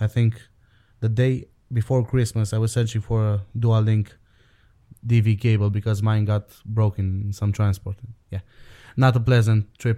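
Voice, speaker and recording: A man with a Romanian accent, fairly low in pitch, somewhat breathy and dark and mellow in tone, flat and monotone, with long, frequent pauses in a dry, close sound with no echo. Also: moderate pace, very clean recording, silent background. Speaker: podcast co-host. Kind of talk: casual chat. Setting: internet call.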